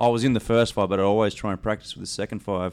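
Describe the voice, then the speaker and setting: Speaking at a very fast pace in a flat monotone, a man with an Australian accent has a fairly low pitch, recorded very cleanly against a silent background. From South Australia (Adelaide). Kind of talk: casual interview chat.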